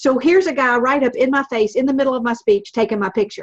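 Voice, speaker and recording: In a Southern US accent, the tone is animated, with ordinary pitch variation. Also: woman. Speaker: motivational speaker and comedian. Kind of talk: casual chat.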